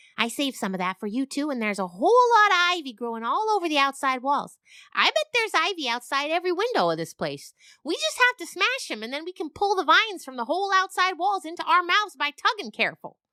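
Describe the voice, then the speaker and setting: A female-sounding voice does a put-on character voice at an extremely high pitch with very wide pitch swings. The pace is very fast. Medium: audio drama. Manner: earnest.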